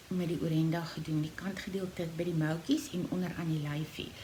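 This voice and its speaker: A woman speaks with a fairly low pitch and audible room echo. Noticeable background noise runs underneath. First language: Afrikaans. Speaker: knitting podcaster and yarn seller. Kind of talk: casual tutorial podcast. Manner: halting, many fillers and repeats.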